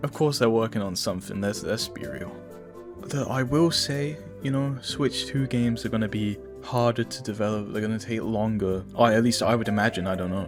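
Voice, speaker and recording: A man with a medium pitch talks as music plays in the background. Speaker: gaming commentary youtuber. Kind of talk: casual talk to camera. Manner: casual, stammering.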